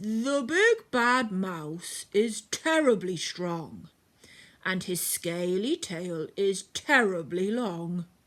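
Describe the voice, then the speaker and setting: In a put-on character voice that sounds female, the speaker goes at a very slow pace with a middle pitch. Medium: read story.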